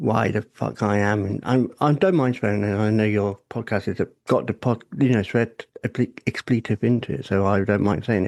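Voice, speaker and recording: Heard against a quiet background, a man with a British accent speaks with ordinary pitch variation in a dry, close sound with no echo. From England. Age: 40s. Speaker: podcast guest. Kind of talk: personal testimony in casual interview.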